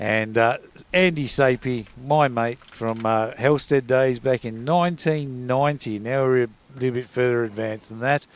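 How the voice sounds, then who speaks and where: Medium-pitched man with an Australian accent, at a moderate pace, in a fairly even intonation. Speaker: cricket commentator. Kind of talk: live commentary.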